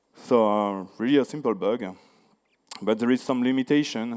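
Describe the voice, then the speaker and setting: This man talks at a moderate pace. His intonation is fairly even. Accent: French. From France. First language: French. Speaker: security researcher. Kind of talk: conference talk. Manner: halting, many fillers.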